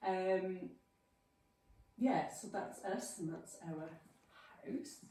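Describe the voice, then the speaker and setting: A woman with a South Welsh accent speaks at medium pitch and a very slow pace. Her intonation is lively, and audible room echo surrounds her voice. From South Wales, Llanelli. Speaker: farm vet and lecturer. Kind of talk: talk to a local club. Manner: casual, filler-heavy.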